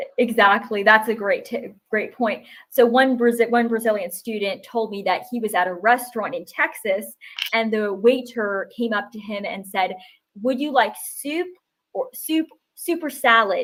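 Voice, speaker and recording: A woman with an American accent talks at a moderate pace in a plain, everyday voice, pitched fairly high with ordinary pitch variation. Her loudness swings widely. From US Northeast, New Hampshire. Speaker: English tutor. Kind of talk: interview on a live stream.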